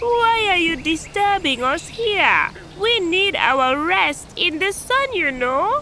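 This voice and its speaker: Someone uses a put-on character voice at an extremely high pitch, speaking at a fairly slow pace over clear background noise. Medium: audio drama. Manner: irritated.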